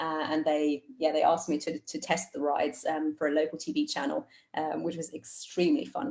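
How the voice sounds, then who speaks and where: The pace is fairly quick. It is a woman, speaking in a British accent. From Germany, Cologne. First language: German and English. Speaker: astronaut candidate. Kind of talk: virtual public talk. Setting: video call.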